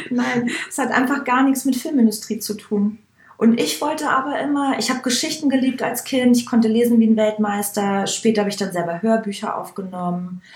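An ordinary speaking voice: a woman, fairly high in pitch, with ordinary pitch variation at a fairly quick pace. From Upper Bavaria, Germany. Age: 30s. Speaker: hairdresser and make-up artist. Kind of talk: casual interview.

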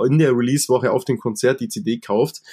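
A man talks at a moderate pace in an unremarkable speaking voice, medium in pitch with ordinary pitch variation, on a very clean recording against a silent background. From Allgäu, Bavaria. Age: 20s. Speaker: rock singer and guitarist. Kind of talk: casual chat.

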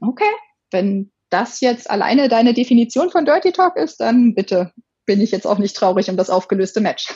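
A normal speaking voice from a woman, fairly high in pitch, with lively intonation, very even loudness and a moderate pace. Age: 30s. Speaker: sex blogger. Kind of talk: casual interview.

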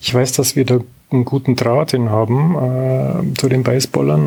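A man delivers his words at a fairly quick clip amid noticeable background noise. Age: 50s. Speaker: amateur tennis player. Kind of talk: casual interview.

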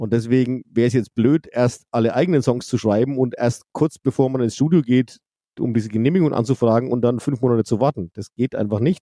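A man's voice at medium pitch has a dark, mellow tone and ordinary pitch variation. He talks at a fairly quick pace in a dry, close sound with no echo. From Franconia, Bavaria, Germany. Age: 50s. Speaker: rock band singer. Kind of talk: casual chat. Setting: video call.

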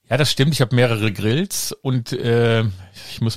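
This man has an unremarkable speaking voice at medium pitch, with lively intonation. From Germany, Rhineland (Kreis Neuss). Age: 50s. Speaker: podcast host, actor and director. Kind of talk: casual chat.

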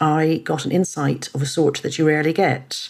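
Her voice is very deep and low, with vocal fry, at a moderate pace. The woman is heard on a very clean recording with a silent background. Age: 50s. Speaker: journalist and author. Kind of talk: interview.

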